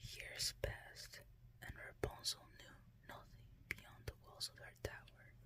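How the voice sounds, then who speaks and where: Someone is whispering. The pace is fairly slow. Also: woman. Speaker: ASMR storyteller. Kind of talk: fairytale bedtime story reading. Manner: whispered.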